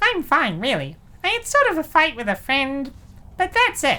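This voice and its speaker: A woman puts on a squeaky character voice with a high pitch. Her pitch swings very widely. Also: moderate pace. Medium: fan dub. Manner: hesitant, defensive.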